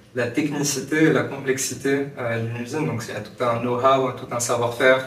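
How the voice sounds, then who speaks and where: A moderate pace and fairly even intonation amid noticeable background noise and audible room echo. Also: man. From Morocco. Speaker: startup founder. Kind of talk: podcast interview. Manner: hesitant, many fillers.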